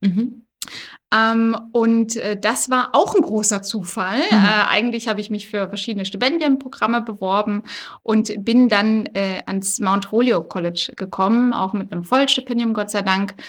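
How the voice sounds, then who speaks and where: Her fairly high pitch and ordinary pitch variation mark a woman with a normal speaking voice, talking at a moderate pace. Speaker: politician. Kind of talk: interview. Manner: many filler sounds (äh, ähm).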